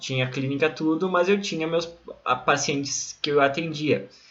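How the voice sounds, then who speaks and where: Speaking at a moderate pace, a man comes through over noticeable background noise. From southern Brazil, Rio Grande do Sul (Santana do Livramento). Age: 20s. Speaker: psychologist and coach. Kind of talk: online course lesson.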